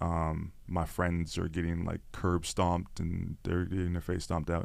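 A Toronto accent on a very clean recording with a silent background. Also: man. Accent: Toronto Canadian English. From Canada, Toronto (Scarborough). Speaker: content creator and podcaster. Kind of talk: casual interview chat. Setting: studio. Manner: animated.

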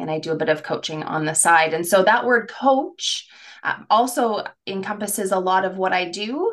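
In a plain, everyday voice, the woman talks at medium pitch and a moderate speed. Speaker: career coach and podcast host. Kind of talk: casual conversational podcast chat.

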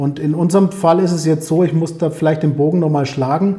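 A man speaks at a fairly high pitch with a dark, mellow tone. His intonation is fairly even. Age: 40s. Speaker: sales professional. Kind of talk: casual interview.

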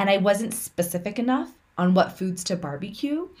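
Somewhat breathy and medium in pitch, a woman with an American accent moves through very wide pitch swings at a moderate pace. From California, US. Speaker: podcast host. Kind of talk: casual conversation.

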